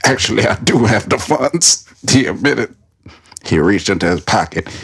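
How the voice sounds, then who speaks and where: A man's somewhat breathy voice moves at a moderate pace with very wide pitch swings and very even loudness. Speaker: podcast host. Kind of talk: whispered ASMR-style reading of fan fiction on a comedy podcast.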